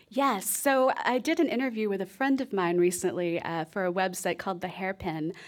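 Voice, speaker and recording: An ordinary speaking voice from a woman with an American accent, medium pitch, lively intonation and a fairly quick pace with hardly any pauses, on a very clean recording with a silent background. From Texas. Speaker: author and music programmer. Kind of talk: radio interview. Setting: live radio show with audience.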